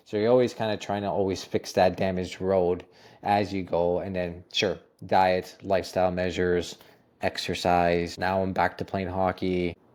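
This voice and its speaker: A man with a Canadian accent, very deep and low in pitch, flat and monotone, in a very clean recording with a silent background. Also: moderate pace. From Ontario, Canada (Toronto area). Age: 30s. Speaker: holistic nutritionist. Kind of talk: interview. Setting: podcast recording.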